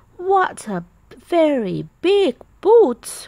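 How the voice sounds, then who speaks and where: A woman puts on a croaky character voice pitched extremely high. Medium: read story. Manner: croaking.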